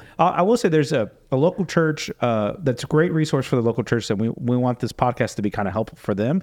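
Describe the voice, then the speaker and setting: With an American accent and a normal speaking voice, a man talks at a fairly quick pace and medium pitch. His intonation is lively, and the background is quiet. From Florida. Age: 30s. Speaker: pastor and podcast host. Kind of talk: casual interview.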